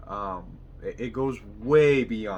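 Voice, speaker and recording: A man with a Spanish accent, with audible room echo and noticeable background noise. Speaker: mechanic and vlogger. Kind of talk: motivational vlog monologue.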